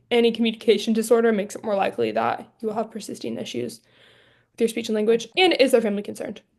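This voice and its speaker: Delivered at a very fast pace, the voice carries vocal fry and ordinary pitch variation. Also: woman, fairly high pitch for a woman. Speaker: speech-language pathology graduate student. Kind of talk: staff training presentation. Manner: halting, frequent disfluencies.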